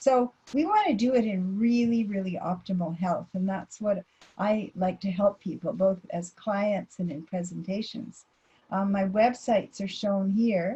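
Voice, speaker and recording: Fairly slow speech from a woman, medium in pitch and somewhat breathy. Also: ordinary pitch variation. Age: 70s. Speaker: dietitian. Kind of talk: lecture. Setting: online presentation.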